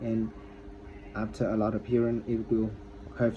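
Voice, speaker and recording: Here is a man with a non-native accent. His pitch sits in the medium range. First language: not English. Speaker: English learner vlogger. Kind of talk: casual vlog monologue. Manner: halting, many repetitions.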